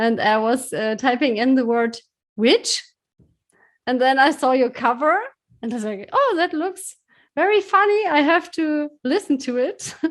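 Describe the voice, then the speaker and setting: On a very clean recording with a silent background, a woman with a slight German accent speaks fairly slowly at a high pitch, swinging very widely in pitch and leaving long, frequent pauses. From Germany. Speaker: podcast host. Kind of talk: interview. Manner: halting.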